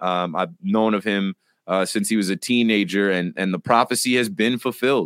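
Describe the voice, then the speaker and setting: On a very clean recording with a silent background and a dry, close sound with no echo, a man with a plain, everyday voice talks at a fairly quick pace. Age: 30s. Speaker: sports podcast co-host. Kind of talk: casual chat.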